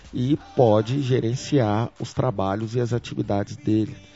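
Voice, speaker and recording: A man's fairly low-pitched voice over music in the background. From Brazil, Brasília. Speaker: tech entrepreneur. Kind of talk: interview. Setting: company office. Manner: frequent repetitions and hesitations.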